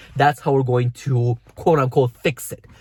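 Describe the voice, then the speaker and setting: A man with a non-native accent and a somewhat breathy voice talks at a moderate pace in a dry, close sound with no echo. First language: not English. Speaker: fitness coach. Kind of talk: vlog tutorial.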